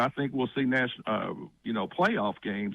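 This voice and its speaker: A man with a normal speaking voice, medium pitch and lively intonation. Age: 60s. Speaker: radio caller. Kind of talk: sports talk radio call.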